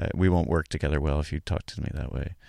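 A man with an American accent and vocal fry. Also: very clean recording, silent background. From US South, Charlotte, North Carolina. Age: 40s. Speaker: comedic actor. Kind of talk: casual interview. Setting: studio. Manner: halting, many restarts.

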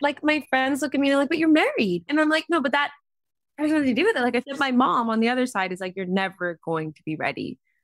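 Speaking at a very fast pace, a woman with a high pitch shows very wide pitch swings and big swings in loudness. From Vancouver, Canada. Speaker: model and activist. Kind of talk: casual interview chat.

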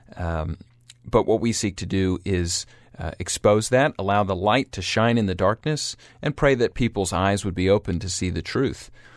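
A man with an American accent talks in a normal speaking voice at a moderate pace and fairly low pitch, with ordinary pitch variation, a quiet background, and a dry, close sound with no echo. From US South, Atlanta, Georgia. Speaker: podcast host, church ministry leader. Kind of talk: solo podcast monologue. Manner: many fillers, uh and um.

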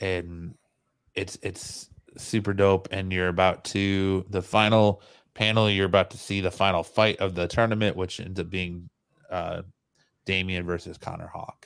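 This man's voice is very deep and low. His intonation is monotone and flat. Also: fairly slow pace, very clean recording, silent background. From small town. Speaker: podcast host. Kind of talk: casual chat; comic book review.

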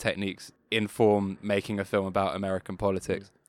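A man with a British accent speaks at a fairly quick pace and a fairly low pitch. The recording is very clean, with a silent background and a dry, close sound without echo. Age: 20s. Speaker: podcast co-host and rock musician. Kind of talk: casual chat.

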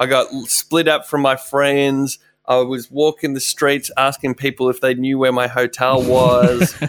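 In an Australian accent, a man speaks fairly slowly with hardly any pauses, medium pitch, monotone, flat intonation and very even loudness, in a dry, close sound with no echo. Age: 30s. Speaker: radio presenter. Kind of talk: casual interview chat. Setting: video call.

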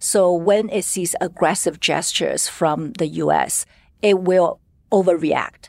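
In a Chinese accent, a woman talks at a fairly slow pace with a fairly low pitch and fairly even intonation, on a very clean recording with a silent background. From China, Shanghai. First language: Mandarin Chinese. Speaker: markets columnist. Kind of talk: panel discussion.

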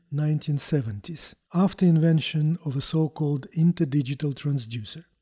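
In a Russian accent, a man talks at a moderate pace with a fairly high pitch and a dark, mellow tone, on a very clean recording with a silent background. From Russia, Moscow. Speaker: chief scientist, physicist. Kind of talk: interview, technical explanation. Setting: on site at a company.

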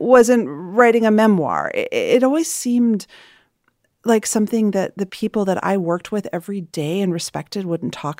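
A woman's ordinary speaking voice, with medium pitch, lively intonation and a moderate pace, in a very clean recording with a silent background and a dry, close sound with no echo. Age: 40s. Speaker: entrepreneur and podcast host. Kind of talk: interview conversation.

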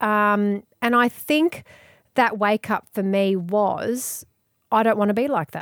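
A woman with an Australian accent speaks very slowly in a fairly high voice with ordinary pitch variation, the sound dry and close with no echo. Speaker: radio presenter and author. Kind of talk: casual interview chat.

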